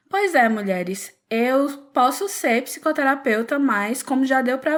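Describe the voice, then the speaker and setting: With a Pernambuco accent, a woman speaks at a high pitch and fairly slow pace, her intonation lively. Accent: Pernambuco accent, noticeable. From Pernambuco, northeast Brazil. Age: 20s. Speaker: psychologist. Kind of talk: podcast interview.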